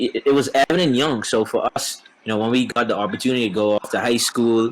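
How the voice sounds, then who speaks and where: Speaking very fast with a Bahamian accent, a man with a medium pitch sounds dry and close with no echo, though noticeable background noise is present. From Bahamas. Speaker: professional baseball player. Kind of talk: casual interview.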